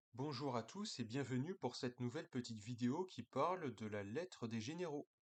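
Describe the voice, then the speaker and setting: A man's medium-pitched voice sounds dry and close-miked, without any echo. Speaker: political commentator. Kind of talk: casual video monologue. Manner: hesitant, many fillers.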